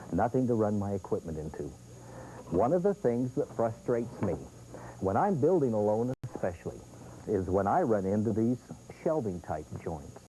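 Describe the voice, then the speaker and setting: A man's fairly low voice with a dark, mellow tone and vocal fry, very wide pitch swings and a moderate pace. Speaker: product demonstrator. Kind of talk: infomercial product demonstration.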